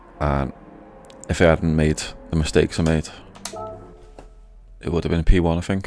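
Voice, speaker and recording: A man's very deep, low voice in a monotone, flat delivery, with long, frequent pauses and music in the background. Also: moderate pace. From Britain. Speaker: gaming streamer. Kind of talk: live gameplay commentary.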